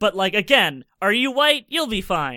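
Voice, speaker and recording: A man speaks in a raised, projected voice with a bright, sharp tone and very wide pitch swings, recorded very cleanly and dry and close, with no echo and a silent background. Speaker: podcast panelist. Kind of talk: casual chat.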